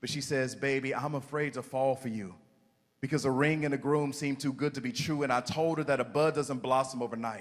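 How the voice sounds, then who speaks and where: A man with a fairly high pitch speaks fairly quickly, his intonation fairly even. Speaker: spoken word poet. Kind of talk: spoken word performance. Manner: mellow.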